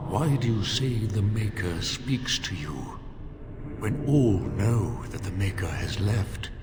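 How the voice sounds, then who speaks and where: Over loud background noise and a clear echo, a man does a put-on character voice at a fairly low pitch and a very slow pace. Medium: machinima. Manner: calm, probing.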